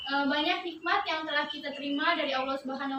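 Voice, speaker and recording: A woman talks at a very fast pace in a raised, projected, high-pitched voice with a bright, sharp tone and fairly even intonation. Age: 20s. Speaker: student teacher. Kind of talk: classroom lesson.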